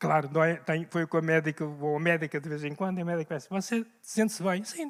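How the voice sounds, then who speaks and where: With a European Portuguese accent, a man speaks at a moderate pace. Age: 70s. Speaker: pastor. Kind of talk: sermon. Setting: church. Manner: animated.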